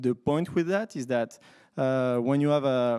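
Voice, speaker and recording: A man speaks in a dark, mellow tone at a moderate pace with ordinary pitch variation. The recording is very clean, with a silent background. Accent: French. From France. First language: French. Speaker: software developer, conference speaker. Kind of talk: conference talk. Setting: stage with audience. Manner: hesitant, many fillers.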